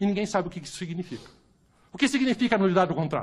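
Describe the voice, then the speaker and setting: A man speaks in an animated, bright, sharp tone. His pitch swings very widely. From Brazil, Curitiba. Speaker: lawyer and jurist. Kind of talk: panel debate talk.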